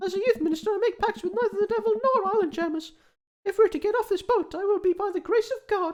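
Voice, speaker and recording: A man speaks in a put-on character voice at an extremely high pitch. He talks very fast. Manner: earnest, pious.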